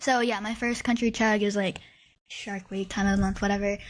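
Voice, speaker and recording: The background is silent in this very clean recording. A woman with an American accent speaks with fairly even intonation. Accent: slight southern-ish. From US Midwest. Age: 20s. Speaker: podcast co-host. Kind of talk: casual chat.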